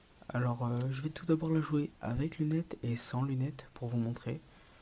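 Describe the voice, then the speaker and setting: At a fairly slow pace, a soft-spoken man talks in a somewhat breathy voice with a dark, mellow tone, medium pitch and fairly even intonation. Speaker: gaming youtuber. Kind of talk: gameplay commentary. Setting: at home late at night. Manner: hesitant.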